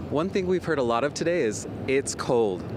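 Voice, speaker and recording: Fairly high-pitched man at a moderate pace, ordinary pitch variation, noticeable background noise behind him. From Arizona. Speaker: journalist. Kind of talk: TV news report.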